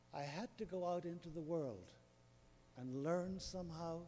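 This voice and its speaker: A man with an Irish accent. His tone is dark and mellow. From Northern Ireland. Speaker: audience member asking a question. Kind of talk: audience Q&A.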